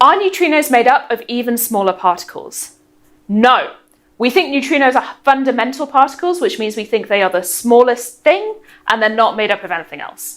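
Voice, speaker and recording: A woman speaks with a high pitch. Her voice moves in very wide pitch swings. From northeast England, near Middlesbrough. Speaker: physicist and science presenter. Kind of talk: science explainer answering viewer questions. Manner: brisk, quick-fire answers.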